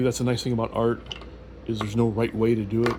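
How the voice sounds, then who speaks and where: Over noticeable background noise, a man speaks fairly quickly with monotone, flat intonation. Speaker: artist. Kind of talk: tutorial. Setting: at home on couch. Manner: fast; halting.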